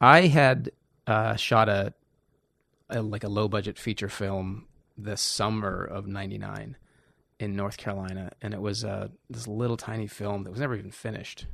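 Against a quiet background, a man with an unremarkable speaking voice talks at fairly low pitch and a moderate pace. His intonation stays fairly even while his loudness swings widely. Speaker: cinematographer. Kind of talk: casual chat. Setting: home studio.

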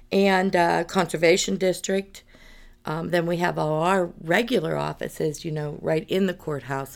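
A woman speaks with a western Pennsylvania accent and a fairly low pitch. The recording is very clean, with a silent background. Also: ordinary pitch variation, moderate pace. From US, western Pennsylvania (Armstrong County). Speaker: county commissioner candidate. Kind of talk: interview.

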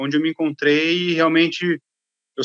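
Heard dry and close with no echo, a man with an unremarkable speaking voice talks at a fairly high pitch and a fairly slow pace. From São Paulo state interior (Limeira), Brazil. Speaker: swimming coach and sports marketer. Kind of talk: casual interview chat.

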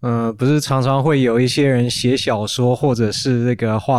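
With a Taiwanese accent, a man talks at a medium pitch and fairly even intonation in a very clean recording with a silent background. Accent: Taiwanese Mandarin. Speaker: teacher with a biology degree. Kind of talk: casual chat.

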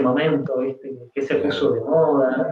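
The man's pitch runs fairly high. He speaks in a monotone, flat intonation, with audible room echo around him. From Argentina. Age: 40s. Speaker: graphic designer for devotional books. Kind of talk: interview.

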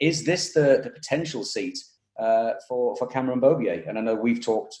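The voice has a British accent and a dark, mellow tone. Pitch variation is ordinary. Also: man. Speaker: motorsport podcast host. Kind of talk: casual interview. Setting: video call.

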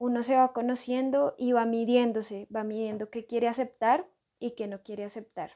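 At a moderate pace, an unremarkable speaking voice keeps a fairly even intonation while its loudness swings widely. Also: woman, fairly high pitch for a woman. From Colombia. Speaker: podcast co-host. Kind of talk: casual chat.

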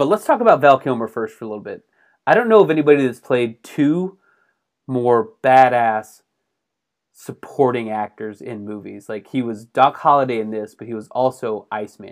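Pitched in the medium range, a man with an ordinary speaking voice moves at a moderate pace and varies his pitch in an ordinary way. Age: 40s. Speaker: podcast co-host. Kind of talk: casual chat. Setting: video call.

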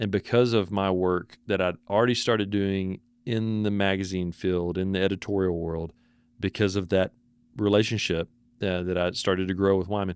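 A man's very deep, low voice in a monotone, flat delivery at a moderate pace, on a very clean recording with a silent background. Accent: Texan. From Texas. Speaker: photographer and professor. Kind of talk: casual interview. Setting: his office at university. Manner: repeats words often.

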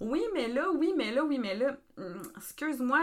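A woman in a Quebec accent, fairly slow in pace, with very wide pitch swings. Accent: Québécois French. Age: 30s. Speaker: family support worker. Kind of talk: casual podcast discussion.

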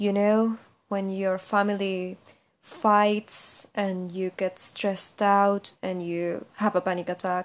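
A woman with a Spanish accent talks at a very slow pace. Her pitch is medium. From Argentina, Buenos Aires. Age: 20s. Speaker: podcaster. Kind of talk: casual monologue.

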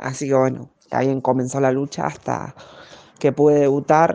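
Speaking at a fairly slow pace, a woman uses a very deep, low pitch. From Argentina, Greater Buenos Aires (González Catán area). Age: 20s. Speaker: professional footballer. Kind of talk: interview answers, personal testimony. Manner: halting, many fillers.

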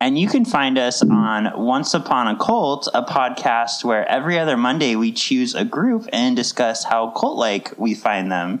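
A man's ordinary speaking voice at medium pitch, with ordinary pitch variation, a moderate pace and hardly any pauses. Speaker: actor playing Professor Pear. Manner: hammy, sarcastic, theatrical.

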